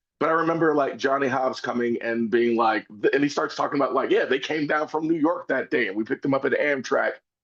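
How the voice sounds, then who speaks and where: Speaking at a very fast pace with hardly any pauses, a man with an American accent uses a fairly high pitch and ordinary pitch variation. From South Philadelphia. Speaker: interviewer and theatre artist. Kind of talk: casual interview conversation. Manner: loud; hesitant, filler-heavy.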